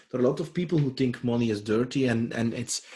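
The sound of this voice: The man's pitch sits at a medium level, and his tone is dark and mellow. He speaks at a fast pace with ordinary pitch variation.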